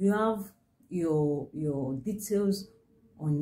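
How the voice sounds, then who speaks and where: A woman speaks with a dark, mellow tone that is somewhat breathy, and her pitch varies in an ordinary way. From Nigeria. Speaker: business consultant. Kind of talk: tutorial. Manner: halting. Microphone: phone near.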